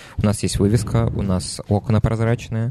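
With noticeable noise behind him, a man keeps to a moderate speed. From Nizhny Novgorod, Russia. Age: 20s. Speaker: bar manager. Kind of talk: casual chat.

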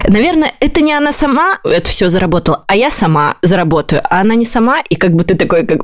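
A woman talks at a fairly quick pace in a fairly high pitch, with very wide pitch swings, very even loudness and hardly any pauses. There is noticeable background noise. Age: 20s. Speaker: podcast co-host, SMM agency owner. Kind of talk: casual chat.

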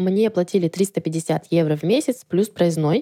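Dry and close with no echo, a woman's dark, mellow voice moves at a moderate pace and medium pitch. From Russian Far East. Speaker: podcast listener, former au pair. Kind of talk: recorded testimony.

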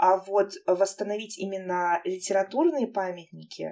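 A woman talks fairly slowly at a medium pitch, with ordinary pitch variation. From Armavir, Krasnodar region, Russia. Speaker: podcast host. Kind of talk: casual chat. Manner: animated, informal.

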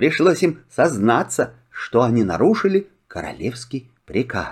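Speaking at a fairly slow pace, a man with a medium pitch and a slightly husky edge makes very wide pitch swings.

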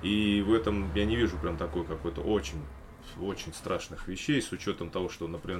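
A man speaks over noticeable background noise. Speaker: podcast host, former police officer. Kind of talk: casual chat.

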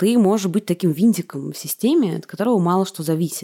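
At a fairly quick pace, a woman with medium pitch and a dark, mellow tone is heard in a dry, close sound with no echo. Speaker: podcast host. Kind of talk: podcast interview.

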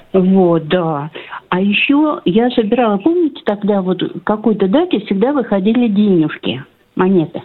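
A woman at a medium pitch with very wide pitch swings, very even loudness and a moderate pace. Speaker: radio caller. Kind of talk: casual phone chat. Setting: phone call. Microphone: line drops out, gaps in sound.

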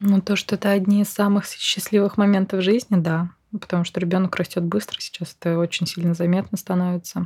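A woman talks at a fairly quick pace in a medium, somewhat breathy voice. Her intonation is monotone and flat, in a dry, close sound with no echo. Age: 30s. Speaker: mother on maternity leave, psychology student. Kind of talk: casual chat.

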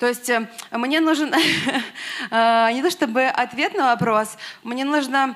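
A woman speaks with ordinary pitch variation. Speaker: audience member, artist. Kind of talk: question from audience. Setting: stage with audience.

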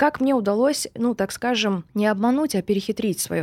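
A woman is speaking. Her intonation is lively. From Russia, Surgut. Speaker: online sales and marketing expert. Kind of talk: podcast interview.

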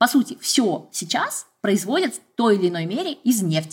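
A woman's fairly high, somewhat breathy voice with lively intonation. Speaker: scientist and podcaster. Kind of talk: casual chat.

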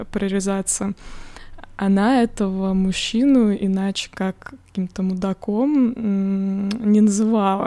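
In a very clean recording with a silent background, a woman speaks very slowly at medium pitch, her tone dark and mellow and her intonation fairly even. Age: 30s. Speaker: podcast co-host. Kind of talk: casual chat.

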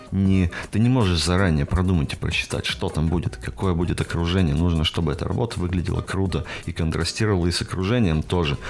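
A man talks at a very fast pace in a very deep, low pitch with ordinary pitch variation. Noticeable background noise runs underneath. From Russia, Perm Krai. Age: 20s. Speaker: tattoo artist. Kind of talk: casual chat. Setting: studio.

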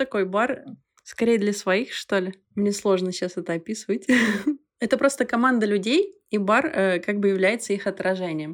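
Speaking with an unremarkable speaking voice, a woman keeps a medium pitch, ordinary pitch variation and a moderate pace. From Belarus. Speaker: bar co-founder and former cruise ship worker. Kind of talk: casual chat.

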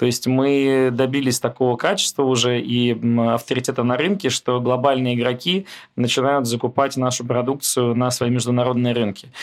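A man's medium-pitched voice, an ordinary speaking voice, with fairly even intonation, very even loudness and a moderate pace. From Moscow, Russia. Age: 30s. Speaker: oil company founder. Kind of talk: interview conversation.

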